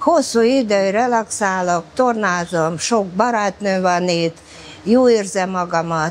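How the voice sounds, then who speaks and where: Speaking at a very slow pace, a woman with a medium-pitched voice keeps her loudness very even and uses ordinary pitch variation. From former Soviet Union. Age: 70s. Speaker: bath regular, pensioner. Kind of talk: interview. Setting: thermal bath.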